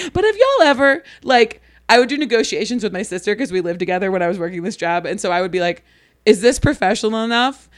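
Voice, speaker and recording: A woman with a Midwestern American accent talks very fast in an animated tone, using a fairly high pitch and lively intonation, in a very clean recording with a silent background. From US Midwest (Ohio). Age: 30s. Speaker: comedian and graphic designer. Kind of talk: casual chat.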